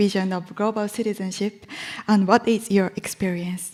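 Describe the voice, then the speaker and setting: A woman talks at a fairly quick pace in a normal speaking voice. Her pitch sits at a medium level. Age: young. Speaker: panel moderator. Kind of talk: panel moderation.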